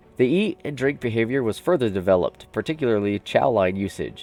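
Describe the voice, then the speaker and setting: With music in the background, a man speaks at a fairly quick pace in a fairly low pitch with lively intonation. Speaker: YouTuber reading a game development report. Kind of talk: reading a report aloud.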